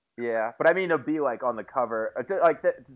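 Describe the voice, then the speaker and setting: A man talks at a fairly quick pace with lively intonation in a plain, everyday voice. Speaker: podcast co-host. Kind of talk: casual chat.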